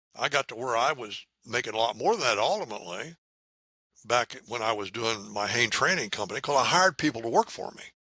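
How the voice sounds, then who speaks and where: Bright, sharp tone in an American accent, with lively intonation and a fairly quick pace. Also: man. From US Midwest (Indiana). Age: 80s+. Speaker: math educator. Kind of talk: podcast interview.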